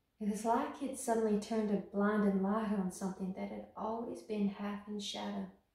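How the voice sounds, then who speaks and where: Speaking with hardly any pauses at a moderate pace, a woman holds a medium pitch and monotone, flat intonation, with audible room echo over a quiet background. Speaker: actress. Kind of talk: dramatic monologue performance, grief-stricken theatrical confession. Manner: haunted and halting, building from hushed remembrance to horrified climax; broken repetitions and anguished pauses, slipping into a brittle laugh. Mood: wistful, grieving. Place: studio.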